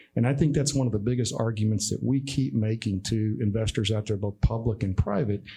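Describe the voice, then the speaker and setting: A man with a dark, mellow, somewhat breathy voice at a fairly low pitch talks at a fairly quick pace with ordinary pitch variation. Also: quiet background. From Texas (Temple). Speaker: energy industry executive. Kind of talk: talk at a business event.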